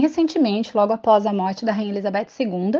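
Dark, mellow tone at a moderate pace, with ordinary pitch variation and a quiet background. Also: woman. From Brazil, Santa Catarina. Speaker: Brazilian expat, social media page creator. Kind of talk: casual explanatory commentary.

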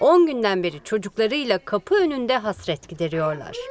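A woman talks at a fairly quick pace with very wide pitch swings. Noticeable background noise sits behind her. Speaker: journalist asking questions. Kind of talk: press Q&A.

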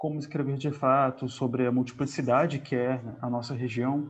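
A man's medium-pitched voice at a fairly slow pace. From Brazil, Northeast (Piauí), raised in several states. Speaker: podcast co-host. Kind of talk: casual book discussion. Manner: hesitant, many fillers.

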